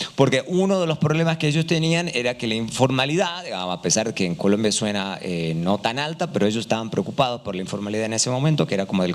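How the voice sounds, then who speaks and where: A man with an Argentine accent speaks at a fairly quick pace and medium pitch, his voice making very wide pitch swings over noticeable background noise. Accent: Argentine Spanish, similar to Uruguayan. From Argentina. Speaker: economist, panel speaker. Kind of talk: panel discussion. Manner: hesitant, many fillers.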